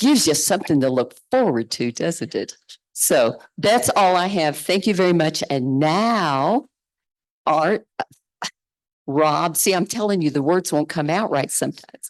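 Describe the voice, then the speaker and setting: A woman's fairly low voice with a Kentucky accent, lively intonation and a fairly slow pace. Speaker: synod participant making announcements. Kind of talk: announcements.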